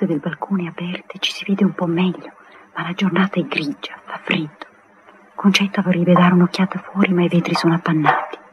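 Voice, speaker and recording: Loud background noise fills the recording. A woman speaks at a fairly quick pace in a flat monotone. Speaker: radio play narrator. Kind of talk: 1959 radio drama, narrator reading stage directions aloud. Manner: measured, lyrical, warmly evocative storyteller pace. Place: studio. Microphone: old recording.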